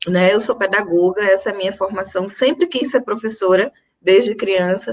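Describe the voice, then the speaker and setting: At a moderate pace, a woman speaks with a medium pitch. Her pitch variation is ordinary. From Brazil, Recife (Pernambuco, Northeast). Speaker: teacher and activist. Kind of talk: panel talk in a live stream. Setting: online live stream.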